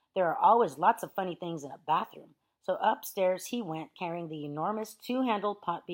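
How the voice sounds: Quiet surroundings behind a natural reading voice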